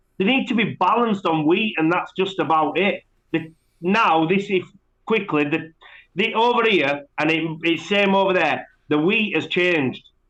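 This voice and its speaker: Loud and high-pitched, a man with a Yorkshire accent speaks at a moderate pace with ordinary pitch variation. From West Yorkshire, England (Bradford). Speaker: pigeon fancier, competitor. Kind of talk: podcast interview.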